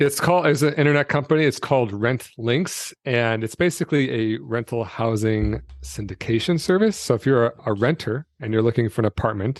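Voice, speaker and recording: An ordinary speaking voice, fairly quick and lively in intonation, with hardly any pauses and a dry, close sound with no echo. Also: man, medium pitch for a man. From Michigan, US Midwest. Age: 40s. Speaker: retired entrepreneur, personal finance creator. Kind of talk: podcast interview. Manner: casual, many fillers and restarts.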